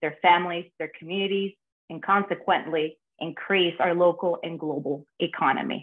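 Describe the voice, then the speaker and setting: A woman talks with monotone, flat intonation against a quiet background. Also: fairly low pitch for a woman, moderate pace. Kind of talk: prepared remarks presentation. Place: home room. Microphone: video call.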